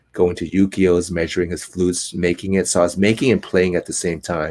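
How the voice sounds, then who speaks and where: Very deep and low, a man's voice has a dark, mellow tone and monotone, flat intonation. The recording is very clean, with a silent background. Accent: Cantonese. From US West Coast, Oakland, California. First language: Cantonese. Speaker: actor and flute maker. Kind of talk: interview. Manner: calm.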